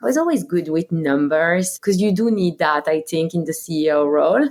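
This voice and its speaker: A woman's fairly low voice at a moderate pace, with a French accent. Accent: very French. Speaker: company co-founder and CEO. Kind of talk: interview.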